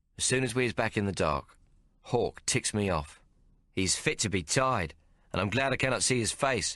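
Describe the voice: The speaker offers plain reading aloud, its pitch variation ordinary.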